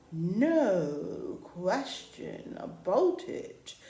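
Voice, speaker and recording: A woman uses a put-on character voice. Her pitch sits fairly high. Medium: read story. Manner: solemn, oracular.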